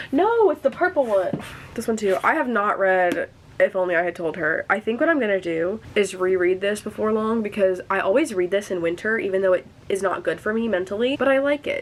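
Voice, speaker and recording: A woman with an American accent talks at a fairly quick pace in a medium pitch. Her intonation is lively, and there is noticeable background noise. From US Midwest, rural area about three hours from St. Louis. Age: 19. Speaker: book vlogger. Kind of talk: casual chat. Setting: at home, sitting on the floor. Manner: fast; animated.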